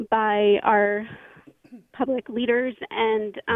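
This woman has a fairly high pitch and fairly even intonation, speaking with an American accent. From US, Florida. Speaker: caller, certified immunizer. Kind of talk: radio call-in. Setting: phone call. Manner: halting.

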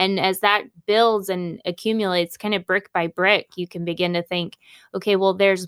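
In a normal speaking voice, a woman talks at a moderate pace and medium pitch with fairly even intonation, in a dry, close sound with no echo. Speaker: pastor's daughter, guest. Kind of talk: call-in radio talk show.

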